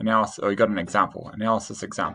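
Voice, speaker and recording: A man's medium-pitched voice with vocal fry. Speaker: teacher. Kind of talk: tutorial. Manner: halting.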